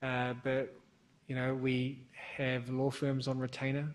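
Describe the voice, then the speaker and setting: At a fairly slow pace, a man speaks with monotone, flat intonation. His voice sits at a medium pitch. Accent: New Zealand. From New Zealand. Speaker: bank sanctions compliance expert, panelist. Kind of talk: conference panel discussion.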